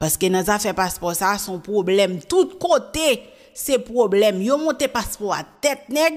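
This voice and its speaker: A woman talks at a fairly quick pace with hardly any pauses. Her pitch swings very widely over a quiet background. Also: fairly high pitch for a woman. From Haiti. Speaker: YouTube news presenter; news presenter. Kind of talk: casual commentary. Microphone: studio mic.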